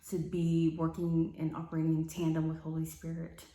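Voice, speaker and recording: A woman speaks with a fairly low pitch and a dark, mellow tone. Her voice is somewhat breathy and her pace fairly quick. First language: not English. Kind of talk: personal testimony to camera. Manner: halting, many fillers.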